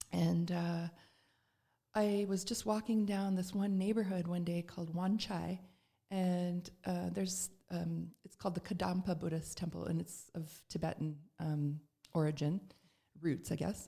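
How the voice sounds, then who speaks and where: Speaking with a Canadian accent, a woman uses a fairly low pitch and a dark, mellow tone that is somewhat breathy, with fairly even intonation. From Canada, Toronto. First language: Serbian. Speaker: spiritual practitioner. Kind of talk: podcast interview.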